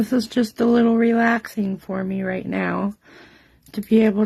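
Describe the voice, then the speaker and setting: A quiet, somewhat breathy woman at a fairly high pitch, in a monotone, flat intonation. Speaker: card-making demonstrator. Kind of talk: live craft tutorial. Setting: home craft table, livestream. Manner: quiet, subdued.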